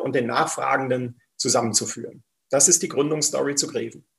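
A somewhat breathy male voice. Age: 50s. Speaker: company CEO. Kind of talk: interview.

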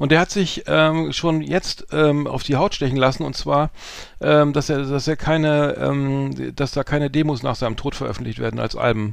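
A man with a normal speaking voice talks at a moderate pace, his fairly high pitch showing ordinary variation. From northern Germany, Hamburg. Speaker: podcast co-host. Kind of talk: casual chat.

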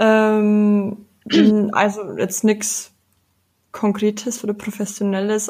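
Somewhat breathy and dark, mellow in tone, a woman's fairly high voice moves at a very slow pace with monotone, flat intonation. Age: 20s. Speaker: sustainability activist. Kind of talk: casual chat.

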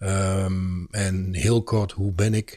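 A somewhat breathy voice with a dark, mellow tone on a very clean recording with a silent background. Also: man. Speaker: podcast co-host and lunchroom owner. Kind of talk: casual chat. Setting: studio.

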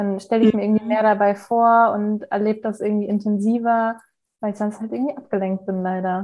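Speaking fairly quickly, a woman keeps a fairly high pitch in a monotone, flat intonation. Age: 20s. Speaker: law trainee. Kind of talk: casual chat. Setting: at home, remote call.

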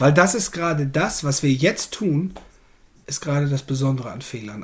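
The voice is somewhat breathy, with ordinary pitch variation. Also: man. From northern Germany, Ammerland. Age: 40s. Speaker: error coach, podcast co-host. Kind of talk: casual interview chat.

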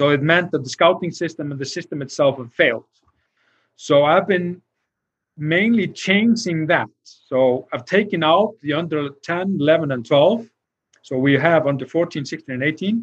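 A man's fairly high voice at a fairly slow pace, with an Icelandic accent. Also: ordinary pitch variation. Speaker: football technical director. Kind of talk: interview. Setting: livestream video call.

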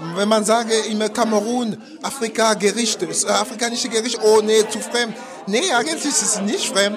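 A man at a moderate pace, high pitch and fairly even intonation, with audible room echo and noticeable background noise. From Cameroon, francophone part. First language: French (speaking German). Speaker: chef. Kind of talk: interview. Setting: busy event venue. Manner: halting, many fillers.

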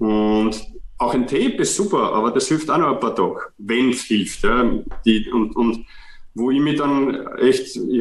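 The speaker talks at a fairly slow pace in a Viennese accent. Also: man. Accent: Viennese Austrian German. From Austria, Vienna. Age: 40s. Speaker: physiotherapist and author. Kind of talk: interview. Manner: halting, with repetitions.

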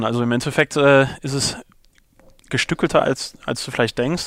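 Noticeable background noise runs under a man speaking at a moderate pace with fairly even intonation. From Ruhr area, Germany (Unna). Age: 30s. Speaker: company co-founder. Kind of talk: interview. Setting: office.

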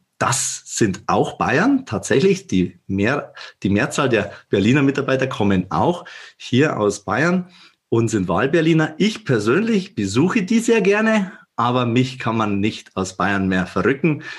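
Somewhat breathy and at a fairly slow pace, a man with a Bavarian accent speaks with very wide pitch swings. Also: medium pitch for a man, quiet background. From Upper Bavaria, Germany. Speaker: managing director of a digital company. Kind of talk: podcast interview.

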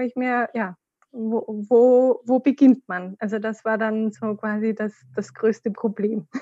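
Very slowly, a woman speaks with fairly even intonation and a dark, mellow tone, in a dry, close sound with no echo. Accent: slight Austrian. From Austria. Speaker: podcast guest, course participant. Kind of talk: casual interview.

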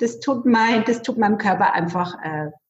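A woman's normal speaking voice, fairly high in pitch, fairly slow, with lively intonation. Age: 40s. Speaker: bank clerk and network marketer. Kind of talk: interview.

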